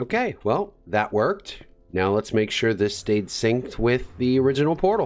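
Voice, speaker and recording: A very clean recording with a silent background, very even loudness and very wide pitch swings. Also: man, medium pitch for a man, moderate pace. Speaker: gaming video creator. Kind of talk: gameplay commentary. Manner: casual.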